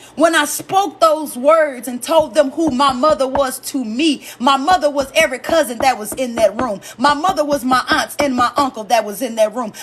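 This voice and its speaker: A woman speaks loudly at a moderate pace with a high pitch and ordinary pitch variation, with music in the background. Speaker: comedian and live-stream host. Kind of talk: casual live-stream talk about grief. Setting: live stream.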